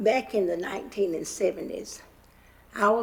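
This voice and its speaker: Someone speaks very slowly with a North Carolina accent. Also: woman. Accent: Southern US (North Carolina). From US South. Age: 80s+. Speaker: member of the public giving comment. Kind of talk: public comment testimony. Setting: county commission meeting.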